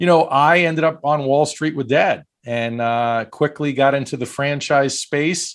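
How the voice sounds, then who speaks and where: On a very clean recording with a silent background, a man with a fairly high pitch talks with fairly even intonation and hardly any pauses. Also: fairly slow pace. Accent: Brooklyn. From US Northeast, Brooklyn, New York. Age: 50s. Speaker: franchise broker. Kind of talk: podcast interview.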